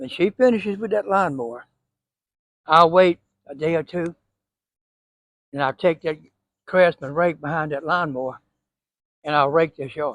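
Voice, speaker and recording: A man with a Southern US accent and a fairly high pitch speaks at a moderate pace, with ordinary pitch variation and big swings in loudness. The sound is dry and close with no echo, and he takes long, frequent pauses. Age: 80s+. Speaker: home gardener. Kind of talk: casual tutorial. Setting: outdoors. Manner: folksy, conversational.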